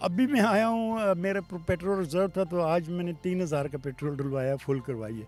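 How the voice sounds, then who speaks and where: A man's high-pitched voice with lively intonation, music in the background. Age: 70s. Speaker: motorcycle traveller. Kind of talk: interview answer.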